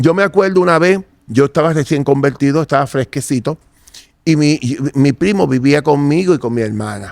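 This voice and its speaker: A man talks at a moderate pace with ordinary pitch variation and an unremarkable speaking voice. The sound is dry and close, with no echo. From Puerto Rico, Santurce. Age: 60s. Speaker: interviewee giving religious testimony. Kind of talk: testimony.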